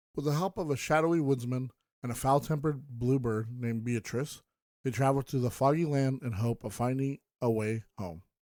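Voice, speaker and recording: This man has a normal speaking voice, medium in pitch, with ordinary pitch variation at a fairly quick pace. The recording is very clean with a silent background and a dry, close sound with no echo. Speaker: podcast host. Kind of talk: podcast review narration.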